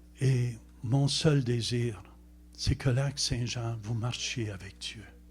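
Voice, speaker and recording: A somewhat breathy man talks at a medium pitch. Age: 70s. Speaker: visiting preacher. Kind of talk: sermon.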